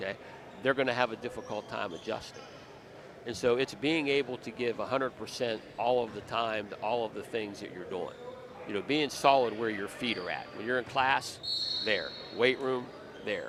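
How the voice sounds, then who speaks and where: At a moderate pace, a man speaks in a medium pitch with ordinary pitch variation over noticeable background noise. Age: 60s. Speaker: college basketball coach. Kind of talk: casual interview. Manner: halting, many repeated words.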